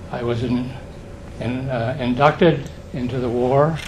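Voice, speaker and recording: A man speaks with fairly even intonation. There is audible room echo along with noticeable background noise. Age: 80s+. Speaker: audience member, war veteran. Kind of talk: audience question.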